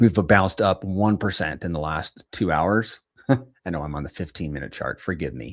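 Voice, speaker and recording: A man speaks at a moderate pace with a very deep, low pitch, vocal fry, and big swings in loudness. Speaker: crypto streamer. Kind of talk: live stream market commentary. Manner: quiet; casual, halting.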